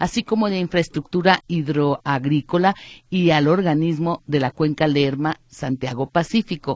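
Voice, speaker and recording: With a normal speaking voice, a woman of fairly low pitch talks at a moderate pace with ordinary pitch variation, in a dry, close sound with no echo. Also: very clean recording, silent background. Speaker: radio host. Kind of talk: radio news talk show.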